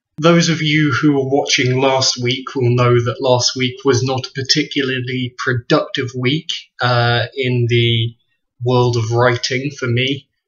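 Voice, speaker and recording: This man's voice sits at a medium pitch and sounds somewhat breathy, with fairly even intonation and a fairly slow pace. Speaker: writer and video blogger. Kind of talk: webcam video blog. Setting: webcam recording.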